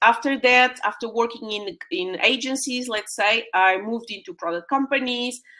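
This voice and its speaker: Ordinary pitch variation in a woman's bright, sharp tone. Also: hardly any pauses. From Portugal. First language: Portuguese. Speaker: UX designer and mentor. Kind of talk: webinar presentation. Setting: live online stream. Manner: hesitant, many fillers.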